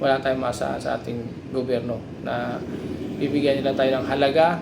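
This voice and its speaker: A man with a fairly high voice talks at a fairly quick pace in a monotone, flat intonation. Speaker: vlogger. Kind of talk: angry rant about government and flood control, addressed to viewers. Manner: indignant, bitter, repetitive, pleading tone with rising emphasis; rambling, hesitant with fillers.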